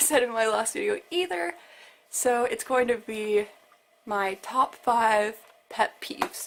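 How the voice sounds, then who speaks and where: A woman speaks in a high voice. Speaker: vlogger. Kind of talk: casual vlog monologue. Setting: bedroom by the window.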